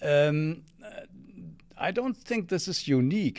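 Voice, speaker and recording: A man with a German accent. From Germany, Bremen. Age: 70s. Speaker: former exchange student. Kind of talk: interview. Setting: studio. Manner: halting.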